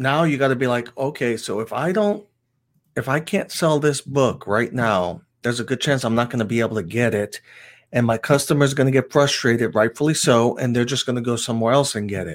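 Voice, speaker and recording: A man speaks at a fairly quick pace and medium pitch. The recording is very clean, and the background is silent. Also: ordinary pitch variation. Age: 50s. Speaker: comic shop owner, Coast Guard veteran. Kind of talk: casual chat. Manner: halting.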